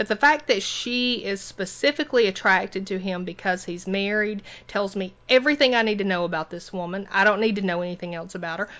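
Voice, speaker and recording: Speaking at a fairly quick pace with a Southern US accent, a woman uses medium pitch and ordinary pitch variation. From US South. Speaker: podcast host. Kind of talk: casual chat.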